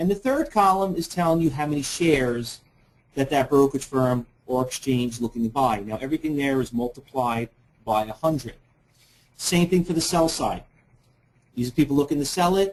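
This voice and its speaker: In a New York accent, the speech moves at a fairly quick pace with ordinary pitch variation and long, frequent pauses. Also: man, fairly high pitch for a man. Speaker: trading educator. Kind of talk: webinar presentation. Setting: online webinar. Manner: fast.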